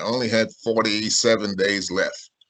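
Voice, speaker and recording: With a South Carolina accent, a man speaks at a moderate pace. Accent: Southern US (South Carolina). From US South, Sumter, South Carolina. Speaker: author and civil rights historian. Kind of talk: video-call talk and Q&A.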